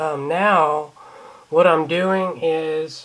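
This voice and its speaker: An ordinary speaking voice belongs to this man, pitched fairly high. His intonation stays fairly even. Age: 20s. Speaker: vlogger with cystic fibrosis. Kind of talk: casual vlog.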